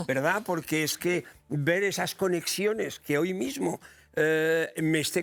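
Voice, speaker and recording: A man speaks with ordinary pitch variation. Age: 70s. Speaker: documentary filmmaker. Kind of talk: interview. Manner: hesitant fillers.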